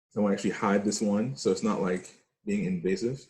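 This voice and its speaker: A man speaks with lively intonation. His tone is dark and mellow. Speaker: forex trading teacher. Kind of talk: trading tutorial. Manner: fast; animated.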